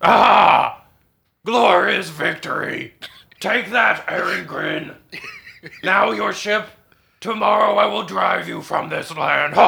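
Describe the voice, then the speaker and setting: This man uses a put-on character voice, raspy and high-pitched. He talks at a fairly slow pace with long, frequent pauses. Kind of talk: fantasy villain theatrics. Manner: haughty, imperious, suspicious.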